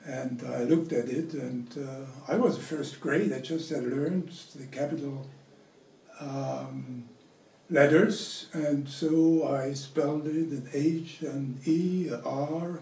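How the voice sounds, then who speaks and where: A man with a German accent, fairly high in pitch, at a very slow pace with fairly even intonation, amid audible room echo and noticeable background noise. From Germany, Franconia. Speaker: interviewee sharing family memories. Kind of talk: personal storytelling. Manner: halting, many fillers.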